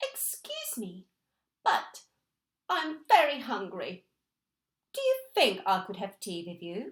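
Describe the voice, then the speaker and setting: The speaker uses a put-on character voice. It moves at a fairly slow pace with long, frequent pauses. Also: woman, high pitch for a woman. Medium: read story. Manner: polite.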